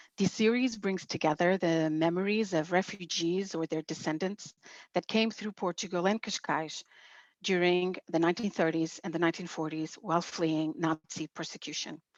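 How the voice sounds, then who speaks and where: Against a quiet background, a woman with a plain, everyday voice talks at a moderate pace and fairly low pitch, with ordinary pitch variation and a dry, close sound with no echo. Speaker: museum coordinator. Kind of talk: interview host.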